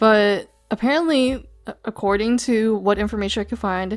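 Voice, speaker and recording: A woman's medium-pitched voice with an American accent, fairly even intonation and a moderate pace, with music in the background. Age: 20s. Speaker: YouTuber / VTuber commentator. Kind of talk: commentary monologue. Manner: casual, conversational.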